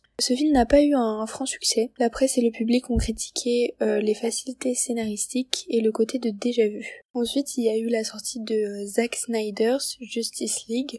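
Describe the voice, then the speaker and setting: A woman's high-pitched voice at a moderate pace, dry and close with no echo. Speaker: student columnist. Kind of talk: scripted film review chronicle.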